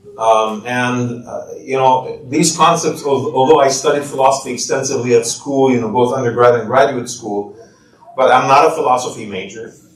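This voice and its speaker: Man at a medium pitch and moderate pace, fairly even in intonation, with noticeable background noise. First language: not English. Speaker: imam and author. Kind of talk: book talk.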